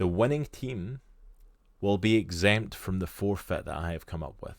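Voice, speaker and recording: A man with a Scottish accent speaks at a moderate pace in a fairly low pitch, his intonation lively and his loudness swinging widely, on a very clean recording with a silent background. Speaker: streamer and podcast co-host. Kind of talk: casual chat. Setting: live stream.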